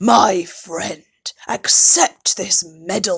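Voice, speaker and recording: A woman puts on a character voice at a medium pitch. She growls through it. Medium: read story.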